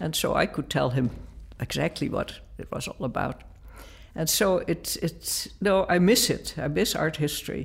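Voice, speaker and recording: Over a silent background in a very clean recording, a woman with a Dutch accent talks at a moderate pace. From Netherlands. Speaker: art professor. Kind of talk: interview.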